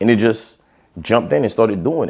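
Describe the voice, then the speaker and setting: This is a man's voice. He speaks in a Haitian accent. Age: 30s. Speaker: podcast host. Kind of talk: casual solo podcast monologue. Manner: casual, filler-heavy.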